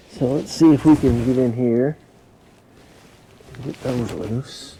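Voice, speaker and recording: Fairly slow, fairly even speech with big swings in loudness and noticeable background noise. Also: man, medium pitch for a man. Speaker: car mechanic youtuber. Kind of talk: tutorial.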